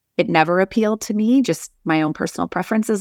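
At a moderate pace, a woman with an ordinary speaking voice and a Canadian accent shows ordinary pitch variation in a very clean recording with a silent background. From northern Alberta, Canada. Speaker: civil engineer and leadership coach. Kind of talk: interview conversation.

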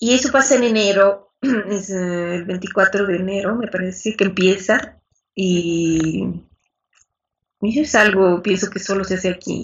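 A woman speaks very slowly in a somewhat breathy voice, medium in pitch with ordinary pitch variation. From Bolivia. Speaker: Spanish teacher. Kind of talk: interview.

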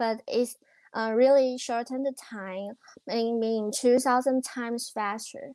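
A woman with a high-pitched voice speaks at a fairly slow pace. Her tone is dark and mellow. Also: fairly even intonation. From Taiwan. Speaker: tech startup founder. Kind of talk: interview. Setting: remote call. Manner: halting.

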